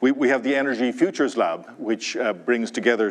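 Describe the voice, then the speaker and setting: A man with an Irish accent at a fairly quick pace. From Ireland, Dublin. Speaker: university president. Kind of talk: welcome speech. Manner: halting.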